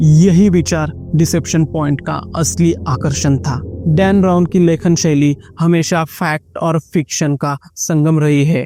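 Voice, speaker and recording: Over music in the background, a man with a Marathi accent speaks at fairly high pitch with fairly even intonation, his sound dry and close with no echo. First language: Marathi (speaking Hindi). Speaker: book reviewer. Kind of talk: book review narration.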